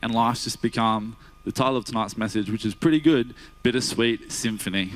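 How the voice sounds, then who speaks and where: In an Australian accent, a man talks at a fairly quick pace in a medium pitch. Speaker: guest preacher, cardiac sonographer by day. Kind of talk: sermon. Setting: church. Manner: casual, hesitant with fillers.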